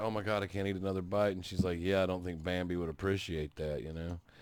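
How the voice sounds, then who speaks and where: With a Southern US accent, a man talks at a very fast pace. His pitch is very deep and low, and his intonation is fairly even. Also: hardly any pauses. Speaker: podcast host. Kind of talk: casual chat.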